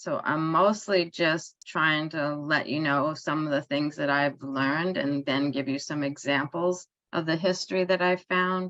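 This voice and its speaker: Speaking in a New York accent, a woman uses a very deep, low pitch and a bright, sharp tone, with ordinary pitch variation at a fairly slow pace. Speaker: author and cooperative economics researcher. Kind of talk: online conference talk. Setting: online event. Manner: hesitant fillers.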